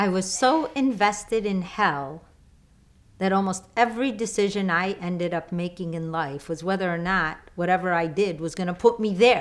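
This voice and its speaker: In a Chicago accent, a woman speaks at a moderate pace. Her pitch is medium, with ordinary variation. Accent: Chicago American English. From Chicago, US. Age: 50s. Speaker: lifestyle coach. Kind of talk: online course talk.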